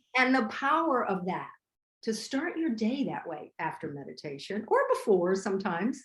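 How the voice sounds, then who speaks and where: Somewhat breathy and fairly high in pitch, a woman speaks at a moderate pace with very wide pitch swings. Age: 60s. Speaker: vegan chef and restaurateur. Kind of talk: casual interview chat.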